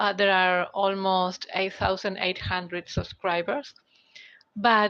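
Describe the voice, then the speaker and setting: In a quiet background, a woman with a Spanish accent talks at a fairly slow pace, medium pitch and a bright, sharp tone. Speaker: tarot reader and audiobook narrator. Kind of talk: live stream talk. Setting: live stream on mobile phone. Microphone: basic mobile phone.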